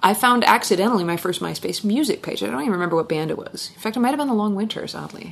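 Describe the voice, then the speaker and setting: A woman speaks at a very fast pace and a medium pitch. Noticeable background noise runs underneath. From Washington State, US. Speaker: singer-songwriter. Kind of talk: casual interview chat. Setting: in person in a living room.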